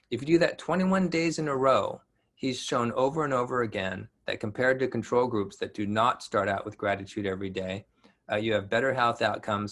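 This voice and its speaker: Speaking fairly quickly, the man uses ordinary pitch variation. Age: 60s. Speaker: physician and wellness speaker. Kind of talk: lecture. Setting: webinar. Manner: halting with many fillers.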